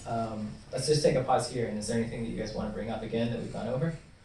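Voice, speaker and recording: This man talks at a very fast pace, with medium pitch and ordinary pitch variation. Audible room echo surrounds his voice. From US South, Louisville, Kentucky. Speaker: blockchain developer relations lecturer. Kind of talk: lecture.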